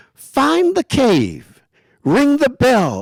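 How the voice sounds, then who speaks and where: The speaker uses a put-on character voice. Its pitch swings very widely. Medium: read story. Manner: hissing, sly.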